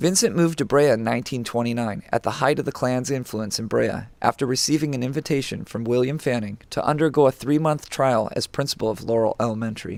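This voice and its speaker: A normal speaking voice from a man with a medium pitch and ordinary pitch variation, moving at a fairly quick pace. The recording is very clean, with a silent background. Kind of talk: documentary narration.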